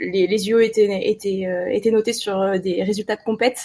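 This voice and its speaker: A woman talks at a moderate speed, her voice fairly high. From France, Ardèche. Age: 30s. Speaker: wedding and underwater photographer. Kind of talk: interview.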